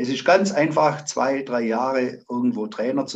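At a very slow pace, a man speaks at medium pitch with vocal fry. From Zimmern, Baden-Württemberg, Germany. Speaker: amateur football coach. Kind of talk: interview.

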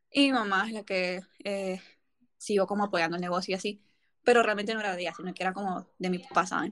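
Against a quiet background, a woman speaks at a fairly quick pace. Her medium-pitched voice has fairly even intonation. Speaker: podcast host. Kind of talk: casual chat.

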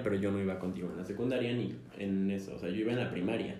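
A man's very fast speech in a Mexico City accent, dark and mellow in tone, with vocal fry, ordinary pitch variation and audible room echo. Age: 20s. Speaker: podcast co-host, engineering student. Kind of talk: casual chat.

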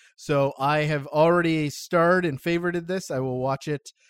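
Recorded very cleanly with a silent background and a dry, close sound with no echo, a man speaks at a moderate pace in an ordinary speaking voice. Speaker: podcast host. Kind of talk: casual chat.

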